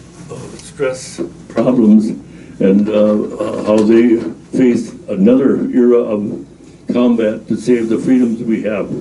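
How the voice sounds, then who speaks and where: Very slow speech from a man at a medium pitch, fairly even in intonation, with audible room echo and noticeable background noise. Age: 90s. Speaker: war veteran. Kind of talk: personal testimony talk. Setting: library presentation with audience. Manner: halting, many fillers.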